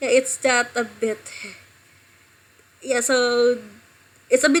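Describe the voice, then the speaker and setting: In an Indonesian accent, a woman speaks with a high pitch. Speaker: streamer. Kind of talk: casual live stream chat. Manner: halting.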